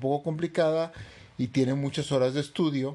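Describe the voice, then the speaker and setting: The man's voice has a dark, mellow tone. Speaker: podcast co-host. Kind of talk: casual chat.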